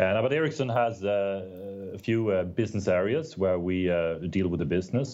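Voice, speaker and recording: Fairly quick in pace, a man with a Swedish accent speaks in a very deep, low pitch and a dark, mellow tone with ordinary pitch variation. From Sweden. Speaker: telecom executive. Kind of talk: interview. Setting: remote call.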